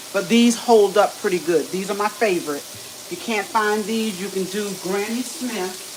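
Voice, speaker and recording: Here a woman with an American accent talks at a moderate pace, with hardly any pauses and big swings in loudness. Her medium pitch varies in an ordinary way amid noticeable background noise. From New York, Queens. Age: 60s. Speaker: cooking show host. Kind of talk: live cooking demonstration.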